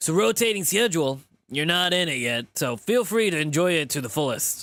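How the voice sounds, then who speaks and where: A man speaks in a gruff, put-on character voice at a fairly high pitch and a fairly quick pace. The recording is very clean, with a silent background. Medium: game stream. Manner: friendly, easygoing.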